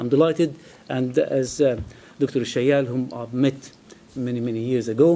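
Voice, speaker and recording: A man with an Arabic accent. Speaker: physics lecturer. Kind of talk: speech. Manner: halting.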